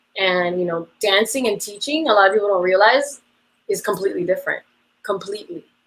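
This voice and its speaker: A woman with an unremarkable speaking voice talks fairly quickly at a medium pitch, her intonation lively. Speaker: dance teacher. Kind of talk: interview. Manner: casual, many fillers.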